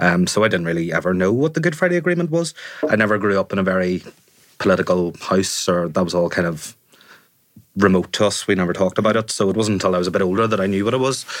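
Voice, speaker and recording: A man speaks very fast in a Northern Irish accent, his pitch fairly low and his pitch variation ordinary. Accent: Northern Irish (Fermanagh). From Northern Ireland, Fermanagh. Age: 30s. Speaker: journalist. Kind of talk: casual chat. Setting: studio.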